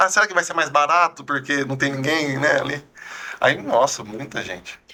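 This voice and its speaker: A man's plain, everyday voice, fairly high in pitch, with ordinary pitch variation at a moderate pace. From Brazil, São Carlos (São Paulo interior). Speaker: food influencer. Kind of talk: casual interview chat.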